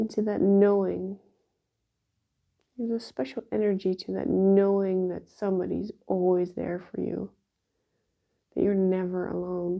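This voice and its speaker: A woman's calm, soothing voice at a medium pitch, fairly even in intonation, at a fairly slow pace with long, frequent pauses. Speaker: shiatsu practitioner. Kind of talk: guided exercise instruction. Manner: slow, calm and soothing; voice lowered, relaxed.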